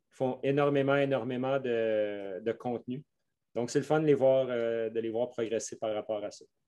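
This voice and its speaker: A man with a Quebec accent speaks at a fairly slow pace in a medium pitch, with a dark, mellow tone. His intonation stays fairly even while his loudness swings widely. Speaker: mountain bike coach. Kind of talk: podcast interview. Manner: slow, careful.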